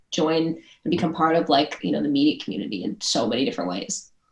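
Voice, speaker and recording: A woman talks very fast with an American accent. Her pitch is very deep and low, with vocal fry. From US Midwest, Chicago suburbs. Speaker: entrepreneur. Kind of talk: podcast interview. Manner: casual, many filler words.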